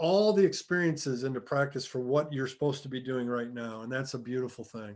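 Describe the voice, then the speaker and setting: A man with a normal speaking voice talks at a fairly quick pace and a medium pitch. His pitch variation is ordinary, while his loudness swings widely. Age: 50s. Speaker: podcast host. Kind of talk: podcast interview.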